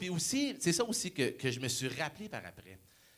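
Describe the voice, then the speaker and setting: At a moderate pace, a man speaks in an animated tone with a fairly high pitch. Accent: Quebec. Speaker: motivational speaker. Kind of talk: motivational talk.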